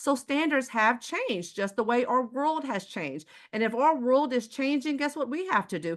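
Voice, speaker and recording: In an American accent, a woman speaks with an animated tone and lively intonation at a high pitch. The background is quiet. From Houston, Texas. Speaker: sales presenter. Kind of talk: sales pitch.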